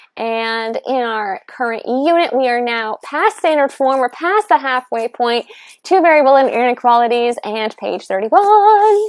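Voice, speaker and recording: A woman with a high pitch speaks in an animated tone at a fairly slow pace, her pitch swinging very widely, on a very clean recording with a silent background and a dry, close sound with no echo. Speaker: math teacher. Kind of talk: tutorial.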